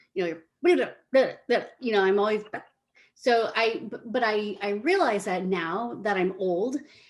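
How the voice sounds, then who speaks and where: Lively intonation and a fairly slow pace in a normal speaking voice. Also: woman, fairly high pitch for a woman. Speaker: senior living marketer. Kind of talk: casual interview.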